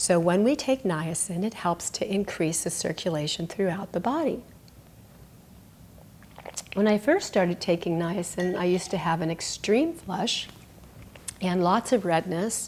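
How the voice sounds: A woman speaks at a fairly slow pace with a fairly low pitch, a slightly mellow tone and ordinary pitch variation.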